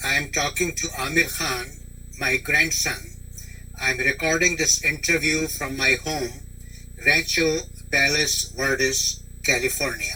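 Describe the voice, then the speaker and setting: A man at a fairly slow pace, long, frequent pauses, and noticeable background noise behind him. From India. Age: 80s+. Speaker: grandfather interviewee. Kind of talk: oral history interview. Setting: teleconference.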